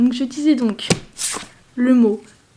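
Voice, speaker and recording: There is noticeable background noise in this clip. Over it, a woman talks in a high voice. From France. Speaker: lifestyle vlogger. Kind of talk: casual vlog. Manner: chatty, hesitant.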